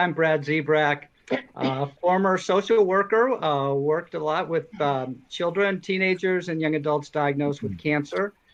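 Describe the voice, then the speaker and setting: This man has a normal speaking voice. He talks at a moderate pace with a fairly high pitch. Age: 60s. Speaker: social work professor, cancer survivor. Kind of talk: panel introduction.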